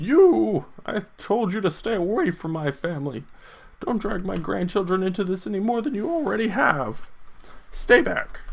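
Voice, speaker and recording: A man's put-on character voice, high-pitched, at a moderate pace, with lively intonation and light background noise. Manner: angry, warning.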